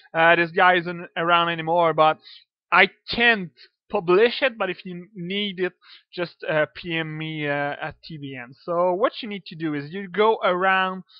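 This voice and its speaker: This man has a French accent and a high pitch. He talks at a fairly slow pace, with big swings in loudness. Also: ordinary pitch variation. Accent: French accent, sounds Russian to himself. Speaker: video game modder. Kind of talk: tutorial. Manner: halting, many fillers.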